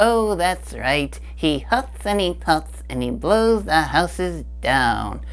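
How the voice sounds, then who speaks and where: A cartoonish character voice from a man, very slow in pace with hardly any pauses. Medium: puppet. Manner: goofy, playful.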